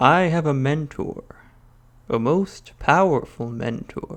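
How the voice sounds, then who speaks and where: Using a put-on character voice, a man speaks fairly slowly with lively intonation and a fairly high pitch. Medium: read story. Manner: proud, confident.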